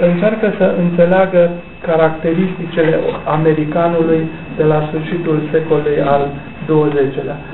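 Through noticeable background noise, a man speaks fairly slowly in a fairly high voice. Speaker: author. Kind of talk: book launch talk. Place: hall. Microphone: camera far.

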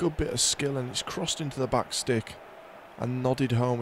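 Amid noticeable background noise, a man talks at a moderate pace, his medium-pitched voice fairly even in intonation. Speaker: video game commentator. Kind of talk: live football commentary over game footage, narrating each chance and goal. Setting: recorded voiceover on game footage.

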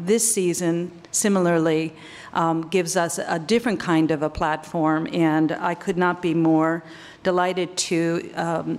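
With fairly even intonation and a fairly low pitch, a woman uses an ordinary speaking voice at a moderate pace. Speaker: museum host. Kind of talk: welcome speech. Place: hall. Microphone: podium.

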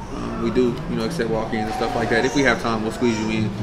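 A man rattles along at a very fast pace while clear music plays in the background. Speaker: guest. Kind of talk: interview answer. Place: bar.

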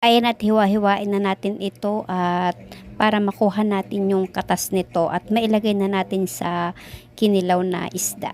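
Moderate-paced speech from a woman, medium in pitch, with monotone, flat intonation. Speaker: cooking vlogger. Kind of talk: cooking tutorial narration.

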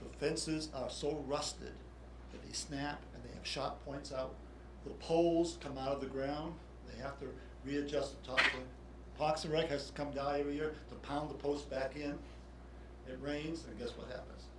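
Amid noticeable background noise and audible room echo, a man talks at a moderate pace with long, frequent pauses and big swings in loudness. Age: 70s. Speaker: tennis coach. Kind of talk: public comment at council meeting. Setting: city council meeting. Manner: halting.

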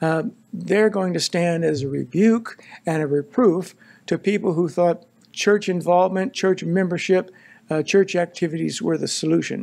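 Speaking with an American accent, a man uses a high pitch and ordinary pitch variation. He keeps a moderate pace with long, frequent pauses. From Southern California. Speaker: pastor. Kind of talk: sermon. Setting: church. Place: church. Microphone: podium.

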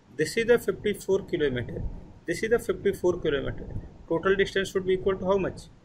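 A man talks with a high pitch. Light background noise sits behind him. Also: ordinary pitch variation, fairly quick pace. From India. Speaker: physics tutor. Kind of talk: online tutoring session. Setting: video call. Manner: repetitive, halting.

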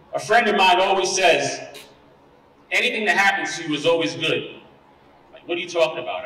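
Fairly quick and animated, a man's voice carries audible room echo. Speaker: school administrator. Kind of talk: rally speech to students. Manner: animated, rhythmic, repeating slogans. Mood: warm, earnest, encouraging. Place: hall. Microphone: podium.

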